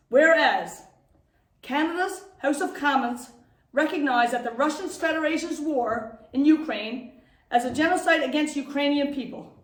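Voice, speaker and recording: Audible room echo around a woman's high voice. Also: ordinary pitch variation, moderate pace. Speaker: town mayor. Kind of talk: reading aloud a proclamation; public address.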